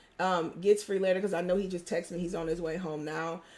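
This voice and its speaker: A woman is speaking. Her voice sounds strained. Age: 30s. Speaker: live stream host and life coach. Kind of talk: casual live stream chat.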